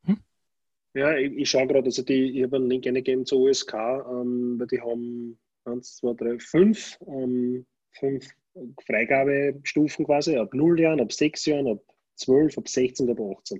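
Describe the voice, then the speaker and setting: A man speaks at a fairly slow pace and medium pitch, with ordinary pitch variation. He leaves long, frequent pauses. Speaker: podcast co-host. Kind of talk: casual chat. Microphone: tinny, poor audio, like through a tin can.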